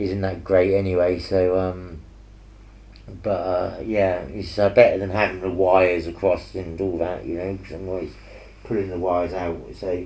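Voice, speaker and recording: Mumbling in a very deep, low voice at a moderate pace, a man speaks with monotone, flat intonation and big swings in loudness, with audible room echo. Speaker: painter streaming while painting. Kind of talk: casual chat while painting. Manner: hesitant, many fillers. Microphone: earpiece mic, sometimes muffled when head turned.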